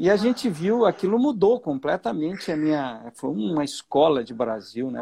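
A man with fairly high pitch and very wide pitch swings. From southern Brazil, Santa Catarina. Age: 60s. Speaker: financial educator and author. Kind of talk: interview. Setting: live video stream.

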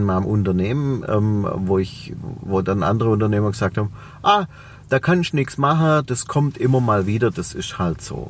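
Someone with a Swabian accent speaks at a moderate pace with lively intonation. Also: man. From Swabia, Reutlingen. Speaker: entrepreneur and personal development coach. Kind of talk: interview.

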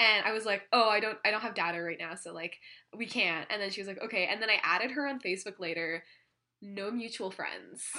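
A woman with a Canadian accent talks at a fairly quick pace in a normal speaking voice. Her pitch sits in the middle range and varies an ordinary amount. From Ontario, Canada. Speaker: podcast host. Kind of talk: casual chat. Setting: at home, cat on lap.

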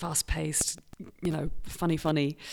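A woman with a British accent and a very deep, low pitch. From Britain. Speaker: improv performer. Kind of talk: podcast interview.

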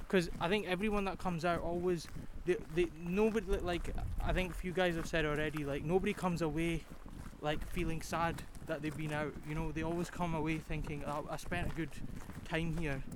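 In a Scottish accent, a man talks at a fairly quick pace with a high pitch. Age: 20s. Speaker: volunteer walker. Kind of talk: casual interview. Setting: outdoors on a forest walk.

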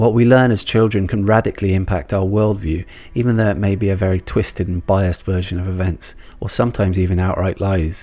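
Speaking with a West Country accent, this voice has a dark, mellow tone and fairly even intonation at a very fast pace. The background is quiet. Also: man, fairly low pitch for a man. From Bristol, England. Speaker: podcast host. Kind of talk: scripted narration.

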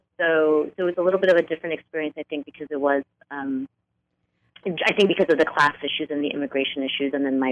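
A woman with a New York accent talks at a very fast pace in a very deep, low pitch. Her intonation is fairly even, but her loudness swings widely. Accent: New York area American. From northern New Jersey, US. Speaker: author. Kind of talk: interview.

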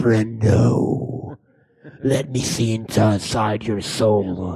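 A man puts on a raspy character voice at a medium pitch. He speaks very slowly with fairly even intonation. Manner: crazy, unhinged; theatrical, demanding.

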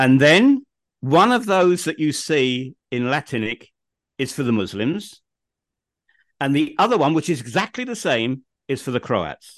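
Against a quiet background, a man with a southern English accent speaks fairly slowly in a fairly high pitch, swinging very widely in pitch and leaving long, frequent pauses. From England, home counties. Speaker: podcast host, guest expert. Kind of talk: casual interview.

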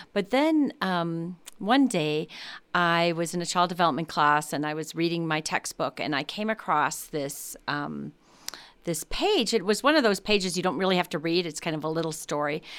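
In an American accent, a woman with an ordinary speaking voice talks at a moderate pace, her fairly low pitch showing ordinary variation, on a very clean recording with a silent background. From US Midwest, Chicago. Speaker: psychology professor. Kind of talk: interview. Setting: studio.

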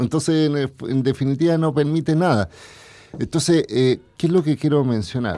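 A man's fairly high, dark, mellow voice with ordinary pitch variation, on a very clean recording with a silent background. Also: moderate pace. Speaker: lawyer and former telecom undersecretary, tech commentator. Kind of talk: radio interview, explanatory.

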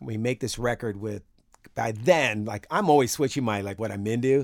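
A man talks in a plain, everyday voice at a fairly quick pace and medium pitch, with ordinary pitch variation. The recording is very clean, its background silent. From US West Coast, San Francisco Bay Area. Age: 50s. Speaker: bass player. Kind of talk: casual interview.

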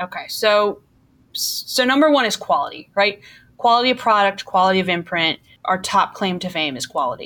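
This woman has a slight Milwaukee accent and a bright, sharp tone at medium pitch. Her pitch swings very widely at a moderate pace. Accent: Milwaukee Midwestern, slight. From Milwaukee, US Midwest. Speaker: marketing executive. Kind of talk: casual interview.

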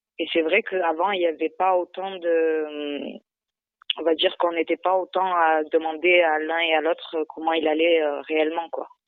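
Her fairly low-pitched voice moves at a fairly slow pace in a monotone, flat intonation as the woman speaks. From southern France, Montpellier. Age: 20s. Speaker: mother in social housing shelter. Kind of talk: phone interview. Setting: phone call. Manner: halting, many hesitations.

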